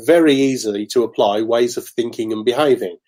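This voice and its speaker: The very clean recording, with a silent background, carries a man speaking in a Birmingham accent. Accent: Brummie. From Birmingham, England. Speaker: motivational speaker. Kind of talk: interview.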